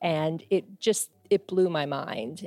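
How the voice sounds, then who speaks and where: Music plays behind a woman speaking at a fairly low pitch. Her pitch varies in an ordinary way. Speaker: philanthropy organization staffer. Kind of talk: recorded personal story.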